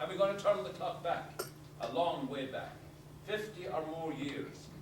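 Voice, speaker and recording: With an Irish accent, a man speaks at a high pitch and a moderate pace. His pitch varies in an ordinary way, and background noise is noticeable. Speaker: storyteller. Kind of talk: talk to a live audience. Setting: live audience.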